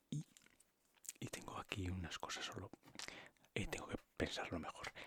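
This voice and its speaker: Whispering at a fairly quick pace. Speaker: ASMR creator. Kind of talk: ASMR soft-spoken ramble. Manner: soft-spoken, normal voice not whisper.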